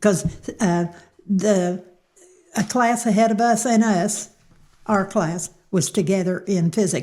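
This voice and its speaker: A woman with an American accent and a dark, mellow tone, fairly slow with long, frequent pauses, very even loudness and ordinary pitch variation. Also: medium pitch for a woman. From Cincinnati, Ohio, then southern Indiana. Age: 90s. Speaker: local elder. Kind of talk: interview.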